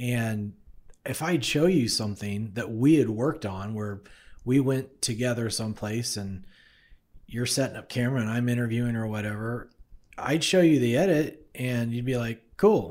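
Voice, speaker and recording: Pitched in the middle range with ordinary variation, this man has an unremarkable speaking voice and moves at a moderate speed. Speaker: podcast host and co-producer. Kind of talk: casual interview conversation. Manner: friendly, conversational.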